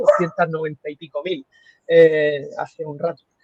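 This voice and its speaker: Recorded dry and close with no echo, a man speaks with a Murcian accent. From Spain, Murcia. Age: 30s. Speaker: radiologist. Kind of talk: interview conversation. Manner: halting.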